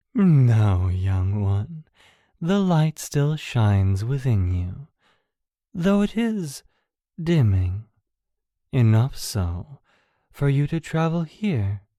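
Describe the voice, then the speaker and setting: Very slowly and with long, frequent pauses, a put-on character voice in a low-to-middle pitch speaks in a calm tone with very wide pitch swings, recorded very cleanly against a silent background. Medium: audio drama. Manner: calm, cryptic, serene.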